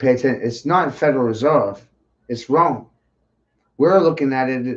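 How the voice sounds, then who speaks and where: A man with an American accent speaks at a medium pitch and a moderate pace. His pitch variation is ordinary, and the background is quiet. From US Northeast, Maine. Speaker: conspiracy talk streamer. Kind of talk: rant. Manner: animated.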